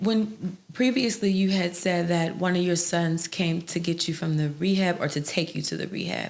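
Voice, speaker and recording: Her voice is a plain, everyday voice, fairly low for a woman, with fairly even intonation. She keeps a moderate pace and hardly any pauses. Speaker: podcast host. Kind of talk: podcast interview.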